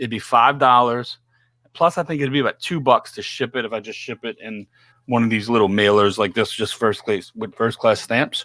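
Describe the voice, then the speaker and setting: In a very clean recording with a silent background and a dry, close sound with no echo, a man talks at a moderate pace and medium pitch, his tone bright and sharp, with ordinary pitch variation and big swings in loudness. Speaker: podcast host. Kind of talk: casual live chat. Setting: live stream.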